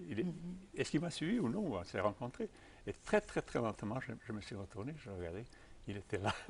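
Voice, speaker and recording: Somewhat breathy male speech with very wide pitch swings. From Serbia, Belgrade. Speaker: tai chi teacher. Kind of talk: interview answer.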